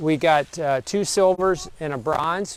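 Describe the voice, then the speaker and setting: A man with an American accent has a plain, everyday voice. His pitch is fairly high, with ordinary pitch variation. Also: dry, close sound with no echo. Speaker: vineyard owner. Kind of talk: live video tour. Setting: outdoors. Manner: casual, rambling.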